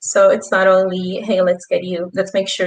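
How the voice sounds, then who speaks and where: A woman is speaking. She talks with a Spanish accent. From Peru. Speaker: youth ambassador, intern. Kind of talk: panel discussion.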